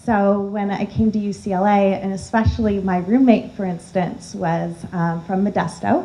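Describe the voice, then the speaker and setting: Speaking at a moderate pace, a woman with a medium pitch and a dark, mellow tone sounds somewhat breathy, her intonation fairly even. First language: Armenian. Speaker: alumna panelist. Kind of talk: panel discussion.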